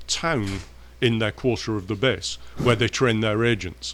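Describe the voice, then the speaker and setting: The recording is very clean, with a silent background. A man with an English accent speaks at a moderate pace and a medium pitch. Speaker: professor.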